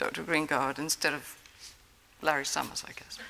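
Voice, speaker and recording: A woman is speaking. She has an English accent. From England. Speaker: prize-winning immunologist. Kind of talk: award acceptance speech. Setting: stage with audience.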